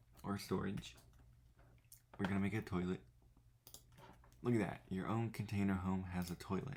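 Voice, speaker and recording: Quiet and at very even loudness, a man speaks in a very deep, low voice with ordinary pitch variation. His pace is moderate, broken by long, frequent pauses. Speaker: gaming YouTuber. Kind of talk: gameplay tutorial. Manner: speaking quietly; casual, thinking aloud.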